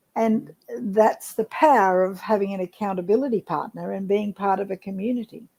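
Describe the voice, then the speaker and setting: With an Australian accent and a dark, mellow tone, a woman speaks at a moderate pace with fairly even intonation, in a dry, close sound with no echo. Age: 70s. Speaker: network marketer. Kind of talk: casual interview chat.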